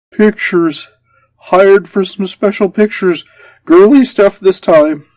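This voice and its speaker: Someone uses a put-on character voice, pitched in the middle and paced moderately. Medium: read story. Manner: stammering, whining.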